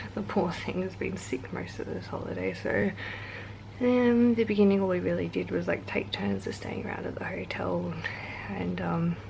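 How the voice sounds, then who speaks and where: A woman speaks quietly at a moderate pace. Audible room echo and noticeable background noise surround her voice. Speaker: travel vlogger. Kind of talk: casual chat.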